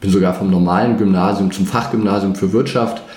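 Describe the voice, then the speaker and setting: Audible room echo and noticeable background noise around fairly quick speech. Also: man. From northeastern Germany (Greifswald, former GDR). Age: 30s. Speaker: finance trainer and former portfolio manager. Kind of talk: interview.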